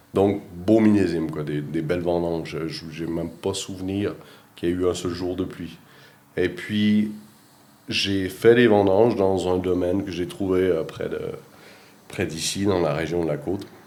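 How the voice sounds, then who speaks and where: Very deep and low, a man's voice has a dark, mellow tone and fairly even intonation. He talks at a fairly slow pace with long, frequent pauses, and the room echo is audible. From Quebec, Rimouski (eastern Quebec). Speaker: winemaker. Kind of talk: interview. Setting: at a winery in Switzerland. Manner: hesitant, many fillers and repetitions.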